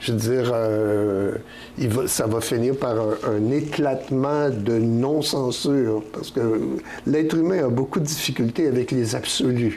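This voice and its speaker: Noticeable background noise and audible room echo accompany a man with a medium pitch and ordinary pitch variation. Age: 70s. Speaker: poet. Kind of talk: interview. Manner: halting, many repetitions and fillers.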